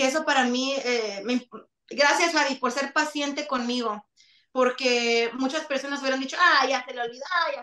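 A woman projects a raised voice in a high pitch. Her tone is bright and sharp, her pace fairly slow. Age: 30s. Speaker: singer. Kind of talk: interview.

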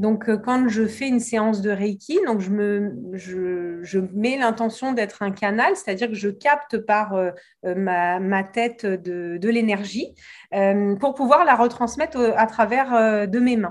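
Very slow speech with ordinary pitch variation sits in a very clean recording with a silent background. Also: woman, fairly high pitch for a woman. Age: 40s. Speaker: reiki teacher and hypnotherapist. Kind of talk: interview. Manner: halting, repeats words.

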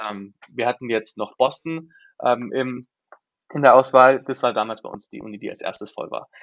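A man with a normal speaking voice talks at a moderate pace and medium pitch. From Germany, Freiburg. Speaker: exchange student. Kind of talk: podcast interview.

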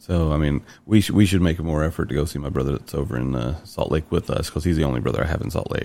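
A man's very deep, low voice with a slight Southern US accent, ordinary pitch variation, and a very fast pace. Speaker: podcast host. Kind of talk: casual chat.

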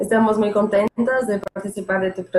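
This woman has a dark, mellow tone and a Portuguese accent. Her intonation is monotone and flat, and the sound is dry and close with no echo. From Brazil, Santos, São Paulo state. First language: Portuguese (speaking Spanish). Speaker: former exchange student. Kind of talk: casual chat.

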